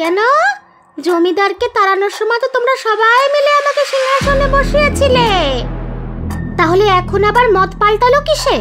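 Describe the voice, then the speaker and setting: A female-sounding cartoonish character voice pitched extremely high. Loud music plays in the background. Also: moderate pace. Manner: haughty, contemptuous.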